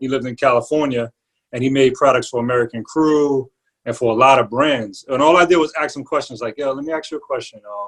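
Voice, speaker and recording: A man talks at a very fast pace with a New York accent. His medium pitch shows ordinary pitch variation. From New York, the Bronx. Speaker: barber and entrepreneur. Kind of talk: interview. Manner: casual with slang and fillers.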